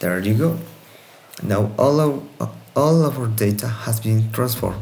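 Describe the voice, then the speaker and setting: With a non-native accent, the speech moves at a fairly slow pace with ordinary pitch variation, amid audible room echo and noticeable background noise. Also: man, medium pitch for a man. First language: Spanish. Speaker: student. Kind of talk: tutorial. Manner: halting.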